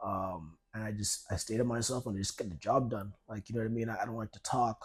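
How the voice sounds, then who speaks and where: Hardly pausing, a man at medium pitch rushes along at a very fast pace, somewhat breathy, with fairly even intonation. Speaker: debut novelist, writer and content producer. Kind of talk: casual interview. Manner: halting, many fillers and restarts; quiet, introverted.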